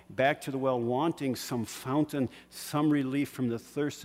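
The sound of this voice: The intonation stays fairly even as someone reads in an unforced reading voice.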